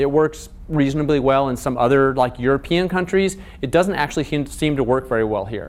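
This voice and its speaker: With an American accent and ordinary pitch variation, a man speaks fairly quickly at a fairly high pitch amid audible room echo. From US Pacific Northwest, Seattle. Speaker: lecturer, social work researcher. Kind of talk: lecture. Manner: fast.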